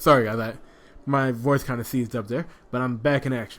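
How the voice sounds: A natural reading voice, intonation fairly even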